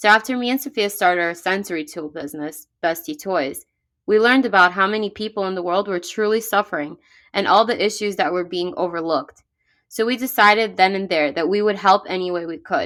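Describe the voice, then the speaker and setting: In a very clean recording with a silent background, a woman speaks with a New York accent. Her medium pitch varies in an ordinary way at a fairly quick pace. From New York, Brooklyn. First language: Russian. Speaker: podcast co-host, business owner. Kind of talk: scripted podcast introduction.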